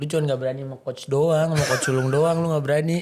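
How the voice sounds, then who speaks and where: A man with a fairly high pitch talks at a very fast pace in a Jakarta accent, his intonation monotone and flat. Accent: Betawi. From Jakarta, Indonesia (Betawi). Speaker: podcast host. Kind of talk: casual chat.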